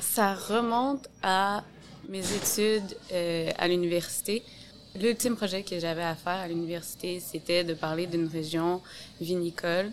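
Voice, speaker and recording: A woman with an ordinary speaking voice, fairly low in pitch, talks at a fairly slow pace with ordinary pitch variation. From Quebec City, Quebec. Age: 30s. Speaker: sommelier. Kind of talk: casual interview.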